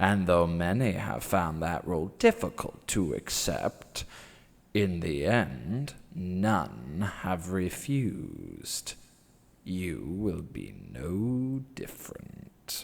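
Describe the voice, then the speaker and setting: Using a put-on character voice, a man speaks at a very slow pace with a very deep, low pitch. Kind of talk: audiobook character monologue reading. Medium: read story.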